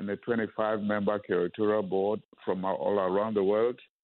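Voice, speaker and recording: Speaking with a Ghanaian accent, the man has a fairly low pitch and fairly even intonation. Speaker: museum founder. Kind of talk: radio interview. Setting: phone call.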